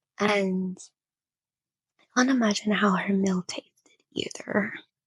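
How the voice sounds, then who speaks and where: A somewhat breathy woman's voice at medium pitch, fairly slow in pace and fairly even in intonation, with a dry, close sound and no echo. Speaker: reaction youtuber. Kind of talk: casual reaction commentary. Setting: in bed at home. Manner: whispering at times.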